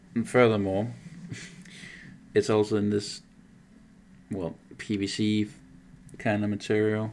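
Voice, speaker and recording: Pausing long and often, a man with a Danish accent speaks in a fairly low, monotone, flat voice. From Denmark. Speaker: miniature painter streamer. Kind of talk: casual live stream commentary. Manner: halting, many fillers.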